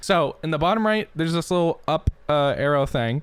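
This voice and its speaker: Speaking at a fairly quick pace, a man shows ordinary pitch variation. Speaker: gaming streamer. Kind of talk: tutorial. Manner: fast; casual.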